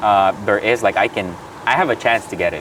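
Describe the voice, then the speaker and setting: A man talks fairly quickly, with noticeable noise in the background. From Philippines. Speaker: graduate student. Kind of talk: casual chat.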